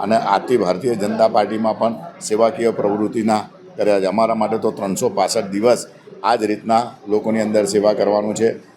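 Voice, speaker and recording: Over noticeable background noise, a man talks with fairly low pitch, fairly even intonation and very even loudness. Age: 50s. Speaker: local politician, former councillor. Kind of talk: speech to reporters.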